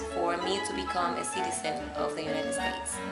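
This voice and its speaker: A woman with a slight Spanish accent at a moderate pace, with music in the background. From Dominican Republic. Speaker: immigrant mother. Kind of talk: interview. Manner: hesitant, with fillers.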